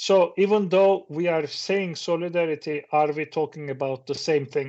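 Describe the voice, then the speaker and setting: Speaking with a Turkish accent, a man has a fairly high pitch and fairly even intonation. His pace is fairly slow. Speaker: professor. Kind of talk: conference talk. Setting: video call.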